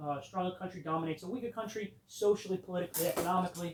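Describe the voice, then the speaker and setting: This man's voice sits at a high pitch. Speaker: history teacher. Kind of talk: classroom lecture. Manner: loud. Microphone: no microphone on.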